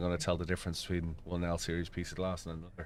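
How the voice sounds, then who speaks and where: A man talks at a very fast pace in an Irish accent. His pitch is very deep and low. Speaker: sim racing streamer. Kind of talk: live stream chat with co-player. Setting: live stream with voice chat. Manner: casual, animated.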